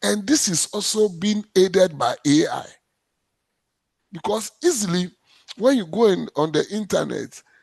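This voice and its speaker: In a dry, close sound with no echo, a man with a Ghanaian accent speaks at a fairly slow pace in a high pitch, with lively intonation and long, frequent pauses. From Ghana, Accra. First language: Ga. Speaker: cultural heritage official. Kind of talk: panel discussion. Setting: video call. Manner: halting.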